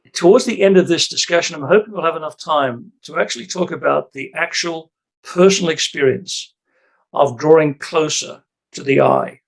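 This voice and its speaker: An Australian-accented man speaks at a fairly high pitch with vocal fry. His pitch varies in an ordinary way while his loudness swings widely. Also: moderate pace. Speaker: retired priest. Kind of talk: casual chat. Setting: video call. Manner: halting.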